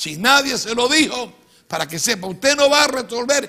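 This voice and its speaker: A bright, sharp-toned voice, raised and projected, comes at a fairly slow pace over a quiet background. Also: man. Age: 70s. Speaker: pastor. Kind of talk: sermon. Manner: emphatic. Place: studio.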